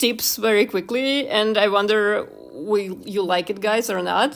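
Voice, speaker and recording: A woman with a non-native accent and a fairly high pitch. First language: not English. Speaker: YouTuber and illustrator. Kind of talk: casual livestream chat while drawing. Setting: livestream. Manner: halting, many fillers.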